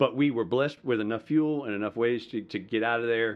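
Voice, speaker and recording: Talking at a very fast pace, a man with a Southern US accent holds a medium pitch and fairly even intonation. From US South, rural Georgia (Madison County). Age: 40s. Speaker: pastor and military veteran. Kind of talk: personal testimony and preaching-style talk.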